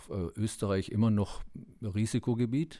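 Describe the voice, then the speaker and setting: The tone is dark and mellow, delivered at a moderate pace. The recording is very clean, with a silent background. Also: man. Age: 60s. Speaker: para-cycling athlete. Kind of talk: interview.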